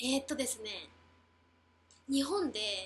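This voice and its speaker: Her pitch high, a woman talks at a very slow pace. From Japan, Beppu, Oita. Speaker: former student and dancer in New York. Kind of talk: casual chat.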